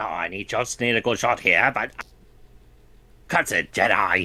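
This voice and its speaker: A man puts on a raspy character voice at a medium pitch. He delivers it at a moderate pace. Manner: put-on, self-deprecating.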